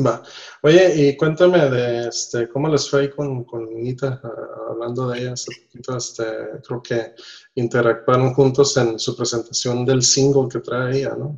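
A man talks at a fairly slow pace in a medium pitch. His voice is somewhat breathy, with fairly even intonation. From Nicaragua. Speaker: podcast host. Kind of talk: casual chat. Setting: home office, remote call.

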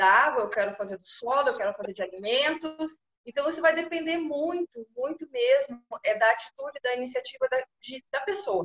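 A woman with lively intonation. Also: dry, close sound with no echo. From southern Brazil, Pelotas (Rio Grande do Sul). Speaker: food quality coordinator. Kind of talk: interview.

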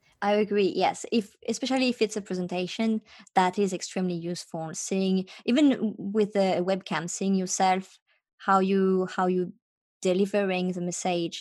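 A woman speaks in a French accent with fairly even intonation. The recording is very clean, with a silent background. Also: medium pitch for a woman, moderate pace. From France, Paris. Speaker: startup founder. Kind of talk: interview. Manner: halting.

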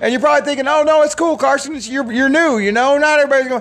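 A man with an American accent, against noticeable background noise. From Michigan. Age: 40s. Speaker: podcast host. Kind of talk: casual solo monologue.

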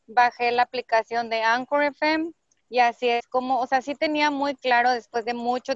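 On a dry, close recording with no echo, a woman with a high-pitched voice and fairly even intonation speaks at a moderate pace. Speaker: podcaster and entrepreneurship coach. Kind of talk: casual interview chat.

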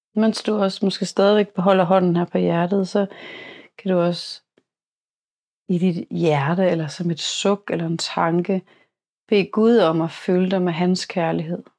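A woman with a medium pitch speaks at a fairly slow pace, her tone warm yet dark and mellow, leaving long, frequent pauses. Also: fairly even intonation. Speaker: podcast host guiding a meditation. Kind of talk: guided meditation. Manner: soft-spoken, warm and intimate.

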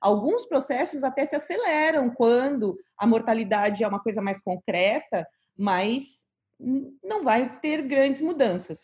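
With a high pitch and lively intonation, this woman speaks. Her pace is fairly slow. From Rio Grande do Sul, Brazil. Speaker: palliative care doctor. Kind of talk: interview.

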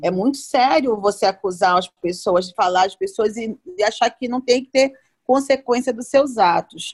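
In a plain, everyday voice, a woman with a fairly high pitch talks at a moderate pace with lively intonation and big swings in loudness, recorded with a dry, close sound with no echo. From Belém, Brazil. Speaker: podcast co-host, celebrity reporter. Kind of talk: casual chat.

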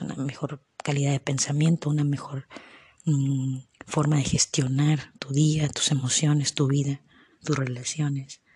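At a moderate pace, a woman with a very deep, low pitch speaks in a monotone, flat way, the sound dry and close with no echo. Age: 30s. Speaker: podcaster. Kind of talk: personal reflection monologue. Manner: halting.

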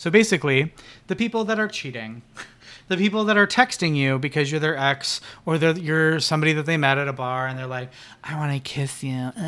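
A man speaks loudly and fairly quickly, his fairly high voice bright and sharp in tone with lively intonation. The recording is very clean, with a silent background. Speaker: podcast co-host. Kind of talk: casual chat. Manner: loud, projecting voice.

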